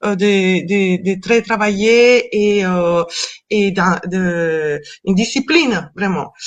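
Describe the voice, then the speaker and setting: With a Colombian accent, a woman speaks very slowly at a medium pitch, using ordinary pitch variation. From Colombia (Cali). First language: Spanish (speaking French). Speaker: actress and stage director. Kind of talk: interview. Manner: halting, many hesitations.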